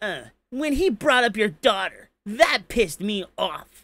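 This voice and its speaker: A man using a put-on character voice speaks at a high pitch and a fairly slow pace with lively intonation. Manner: exaggerated, camp, flamboyant.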